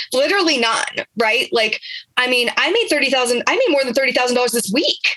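This woman's high-pitched voice is raised and projected, with an animated tone and lively intonation. She keeps a moderate pace, and her loudness stays very even. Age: 30s. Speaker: online business coach. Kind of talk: interview.

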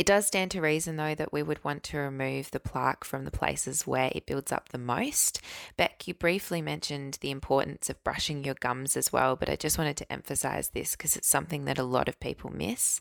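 A woman speaks at a fairly quick pace with hardly any pauses. The sound is dry and close with no echo, on a very clean recording with a silent background. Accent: Australian. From Australia. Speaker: dentist. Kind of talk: explanatory advice.

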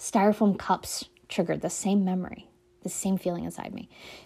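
A woman talks at a moderate pace with a dark, mellow tone and medium pitch. Her delivery is monotone and flat, on a very clean recording with a silent background. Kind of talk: solo podcast talk. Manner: conversational, with many filler words.

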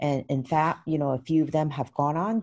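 A woman's dark, mellow voice in a San Francisco accent, at a moderate pace with ordinary pitch variation. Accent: American, San Francisco. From US West Coast, San Francisco. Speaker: pageant founder. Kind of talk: interview.

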